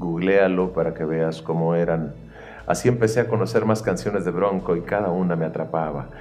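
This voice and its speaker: A man with a very deep, low pitch speaks amid audible room echo and music in the background. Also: ordinary pitch variation, moderate pace. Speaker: songwriter and singer. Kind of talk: scripted narration.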